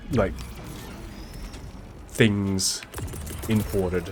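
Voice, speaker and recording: A man's fairly low voice, very slow, with long, frequent pauses, ordinary pitch variation and music in the background. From multicultural English-speaking place near Singapore. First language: Mandarin Chinese. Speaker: gaming streamer. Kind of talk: casual chat. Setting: live stream. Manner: halting.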